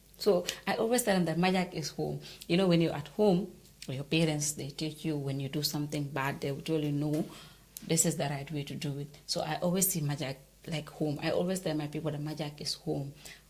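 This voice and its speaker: A woman speaks with a very deep, low pitch and a somewhat breathy sound. Her pace is fairly quick, and her intonation is fairly even. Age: young. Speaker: journalist and show host. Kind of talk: interview.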